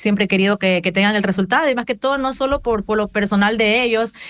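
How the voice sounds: A woman at medium pitch, fast pace, ordinary pitch variation.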